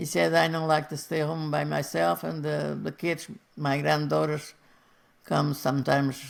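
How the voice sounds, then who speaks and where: Speaking in a Portuguese accent, a woman talks at a moderate pace in a very deep, low voice with very wide pitch swings. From Portugal. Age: 80s+. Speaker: retired factory seamstress. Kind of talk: interview answer.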